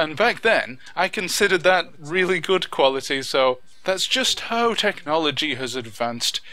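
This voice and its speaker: Noticeable background noise sits behind a man talking at a moderate pace. His intonation is lively. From northern England, Wigan. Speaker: YouTube gaming commentator. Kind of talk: video commentary. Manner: enunciates clearly; animated.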